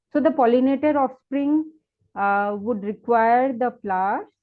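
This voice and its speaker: A woman with an ordinary speaking voice talks at a moderate pace, her intonation lively. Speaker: plant ecologist, invited speaker. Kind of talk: webinar lecture. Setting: online webinar.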